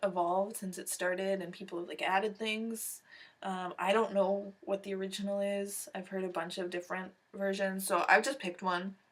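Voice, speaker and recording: Delivered at a moderate pace, this voice has a Canadian accent and a monotone, flat intonation. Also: woman, medium pitch for a woman. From Western Canada. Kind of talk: casual talk to camera.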